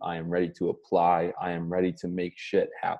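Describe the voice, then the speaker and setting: A man speaks against a quiet background. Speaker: motivational coach. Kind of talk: live stream motivational talk. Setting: livestream with chat. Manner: lower energy than usual.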